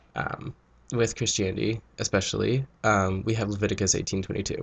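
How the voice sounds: This man's fairly low voice is nasal, with vocal fry and a slightly husky edge. He speaks at a fairly quick pace with little pitch movement.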